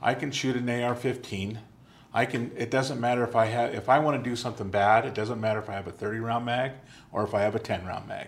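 A man's normal speaking voice at medium pitch, fairly quick in pace, with fairly even intonation. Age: 60s. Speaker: talk show host. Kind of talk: interview. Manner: casual, laughs often.

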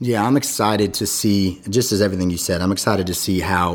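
A fairly low-pitched man with an American accent speaks at a fairly quick pace. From US West Coast. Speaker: podcast host and pastor. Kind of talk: interview. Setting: studio.

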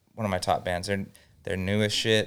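A man's speech, very cleanly recorded against a silent background. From Southern California, Inland Empire (Norco). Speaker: music studio owner. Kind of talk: casual chat.

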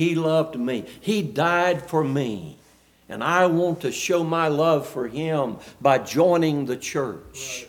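With a Southern US accent, a man talks at a very slow pace in a fairly high pitch, using ordinary pitch variation. Audible room echo surrounds his voice. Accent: US South. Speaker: preacher. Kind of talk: sermon. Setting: church.

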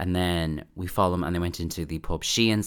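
In a very clean recording with a silent background, a man with a very deep, low pitch talks at a very fast pace with fairly even intonation. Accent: Dublin. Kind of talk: casual chat. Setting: home recording late at night. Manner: soft-spoken.

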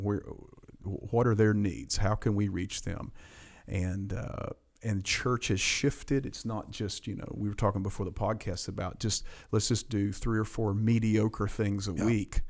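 Over a very clean recording with a silent background, a man with a fairly low voice speaks at a moderate pace in fairly even intonation. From Appalachian Virginia (Grundy). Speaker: pastor. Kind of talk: interview conversation.

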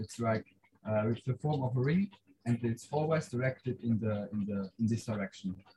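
A man's somewhat breathy voice with a dark, mellow tone, moderate pace, ordinary pitch variation, and a dry, close sound with no echo. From Switzerland. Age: young. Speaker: life science student, mission medical officer. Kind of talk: casual chat. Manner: halting.

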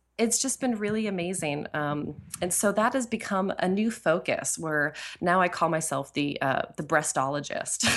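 A woman's fairly low-pitched voice with lively intonation, music in the background. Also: moderate pace. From New England (New Hampshire). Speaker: wellness educator and business coach. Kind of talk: interview.

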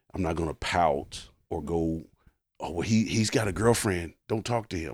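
A man talks in an American accent with vocal fry. His pitch is very deep and low, with ordinary variation. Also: very clean recording, silent background. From Richmond, Indiana. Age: 50s. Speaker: stand-up comedian. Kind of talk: casual chat. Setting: studio.

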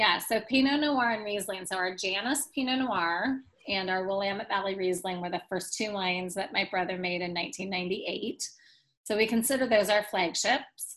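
A normal speaking voice with an American accent, at a moderate pace with ordinary pitch variation. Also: woman, medium pitch for a woman. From US Pacific Northwest, Portland, Oregon. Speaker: winery managing director. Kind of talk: interview.

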